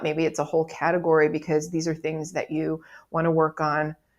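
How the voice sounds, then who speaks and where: In an ordinary speaking voice, a woman with a fairly low pitch talks at a moderate pace on a very clean recording with a silent background. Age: 60s. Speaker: life coach. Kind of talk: motivational video monologue. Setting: recording a video. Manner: casual, conversational.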